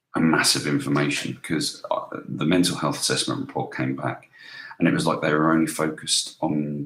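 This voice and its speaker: A man with a British accent at a fairly quick pace. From UK. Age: 20s. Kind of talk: casual talk to camera. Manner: hesitant, halting.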